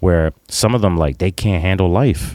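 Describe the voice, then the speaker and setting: In a very clean recording with a silent background, a man talks at a fairly quick pace with a dark, mellow tone. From Puerto Rico. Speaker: podcast co-host and leadership coach. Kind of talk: casual chat.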